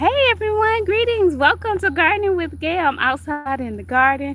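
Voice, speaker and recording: A woman speaks with a Southern US accent. The recording is very clean, with a silent background. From US South. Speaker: gardening livestreamer. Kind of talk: casual livestream chat. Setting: outdoors in garden. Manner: chatty, warm.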